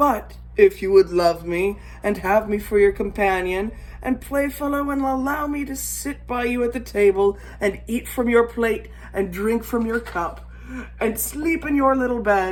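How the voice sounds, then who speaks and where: A put-on character voice is raised and projected at a fairly high pitch. It moves at a moderate pace. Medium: read story.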